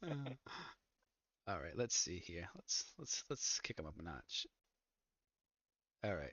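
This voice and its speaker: A man with a very deep, low voice speaks with very wide pitch swings and vocal fry, pausing often and at length. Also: fairly slow pace. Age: 30s. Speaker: livestream host. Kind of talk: casual chat. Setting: Discord voice call on livestream.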